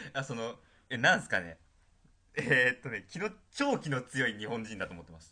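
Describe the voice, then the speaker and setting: A man with a medium pitch and a bright, sharp tone talks at a fairly quick pace, leaving long, frequent pauses. His pitch swings very widely, and his loudness rises and falls a great deal. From Tokyo. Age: young. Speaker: university student podcast co-host. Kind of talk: casual chat.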